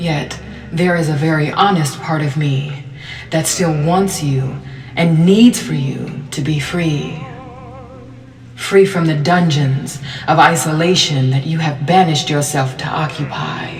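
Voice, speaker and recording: With music in the background, a woman speaks at a fairly slow pace in a very deep, low pitch with ordinary variation. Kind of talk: spoken word poetry reading.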